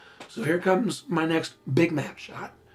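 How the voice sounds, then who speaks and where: Fairly high male voice against noticeable background noise. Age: 50s. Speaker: visual effects supervisor. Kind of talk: commentary track.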